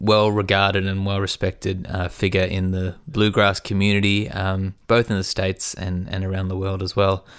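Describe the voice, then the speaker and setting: A man with an Australian accent speaks at a moderate pace in a fairly low voice, his intonation fairly even, on a very clean recording with a silent background. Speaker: podcast host and musician. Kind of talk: casual conversation. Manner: relaxed, chatty.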